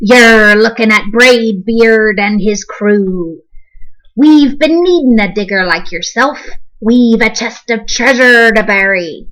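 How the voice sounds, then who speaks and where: Put-on character voice from a woman, fairly high in pitch, at a fairly slow pace. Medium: read story. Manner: loud, bellowing pirate speech.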